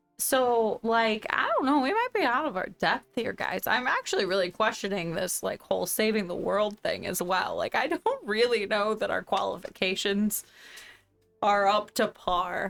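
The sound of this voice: A woman puts on a hoarse character voice, fairly high in pitch, at a moderate pace.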